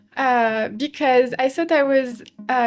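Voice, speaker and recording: Music plays in the background as a woman speaks. Her pitch is high, with ordinary pitch variation. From France, Paris. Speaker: interview guest, expat. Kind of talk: casual interview chat. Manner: hesitant, with many fillers.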